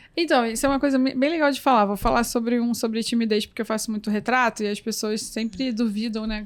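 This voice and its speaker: A soft-spoken woman with a fairly high pitch talks at a very fast pace with fairly even intonation. The recording is very clean with a silent background. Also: hardly any pauses. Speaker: photographer and photography teacher. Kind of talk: interview conversation.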